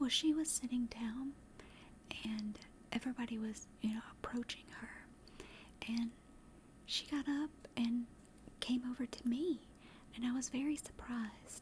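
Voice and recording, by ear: With a Southern US accent, a woman speaks at a fairly slow pace with long, frequent pauses, fairly high pitch, fairly even intonation and a slightly mellow tone. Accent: Southern American.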